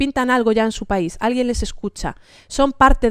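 A woman at a fairly quick pace, dry with no echo, quiet background. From Spain, grew up in Santiago de Compostela and Damascus; Spain. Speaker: panelist journalist. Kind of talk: panel talk. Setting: seminar venue with live audience. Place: meeting room. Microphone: podium.

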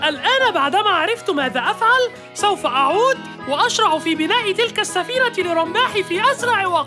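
In a cartoonish character voice, a woman talks fast at an extremely high pitch, with lively intonation and a bright, sharp tone, over faint music in the background.

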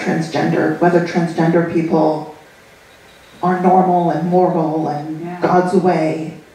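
Audible room echo and light background noise. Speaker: audience member asking questions; audience member. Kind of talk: audience Q&A question. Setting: stage with audience. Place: hall. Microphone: camera far.

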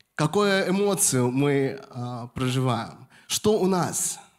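Against a quiet background, a man's voice moves in very wide pitch swings. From Moscow, Russia. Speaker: pastor. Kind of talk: sermon. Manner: halting, with frequent fillers. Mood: warm, smiling, animated. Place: church. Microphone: handheld.

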